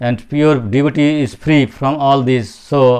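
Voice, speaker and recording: Man with a non-native accent and fairly even intonation. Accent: non-native pronunciation, self-described. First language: Bengali. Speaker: spiritual speaker. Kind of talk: religious talk. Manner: halting.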